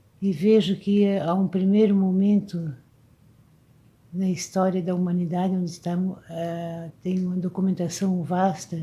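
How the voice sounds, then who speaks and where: Somewhat breathy and dark, mellow in tone, a woman speaks at a fairly slow pace with flat, monotone intonation. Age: 70s. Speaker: video blogger. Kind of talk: reflective monologue. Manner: halting.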